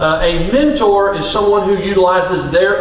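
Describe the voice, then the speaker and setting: The man's pitch is high, and he speaks at a fairly slow pace. Audible room echo and light background noise come through in the recording. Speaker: coach giving a talk. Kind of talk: lecture. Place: stage.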